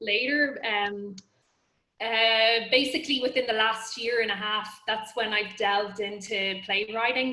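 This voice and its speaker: In an Irish accent, a woman speaks fairly slowly with a bright, sharp tone, a fairly high pitch and ordinary pitch variation. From Ireland, border area of the Republic. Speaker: playwright. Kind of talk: panel discussion. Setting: video call.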